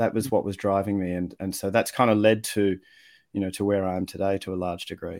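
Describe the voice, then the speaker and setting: A man with a fairly low voice and an Australian accent at a very fast pace, in a very clean recording with a silent background. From Australia (Victoria). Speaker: communication coach and writer. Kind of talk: casual interview chat.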